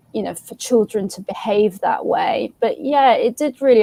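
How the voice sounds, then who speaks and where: At a moderate pace, a woman speaks with ordinary pitch variation in a dry, close sound with no echo. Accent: English. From England. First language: Arabic. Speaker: comics creator. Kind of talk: casual chat. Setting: live stream.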